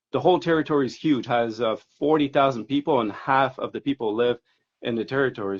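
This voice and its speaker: A man speaks with a slight French Canadian accent. His pitch varies in an ordinary way. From Quebec, Montreal. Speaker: hobby grower. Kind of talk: casual interview. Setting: Instagram live video stream.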